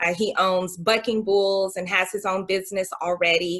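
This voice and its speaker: A woman with an American accent has a plain, everyday voice. Her pitch is medium and her pace moderate. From Oklahoma City, Oklahoma. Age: 40s. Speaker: political candidate. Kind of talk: candidate interview.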